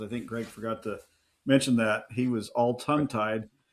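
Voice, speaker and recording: A man with a Midwestern accent speaks at a medium pitch. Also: very clean recording, silent background. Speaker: podcast co-host, biblical scholar. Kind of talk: casual chat.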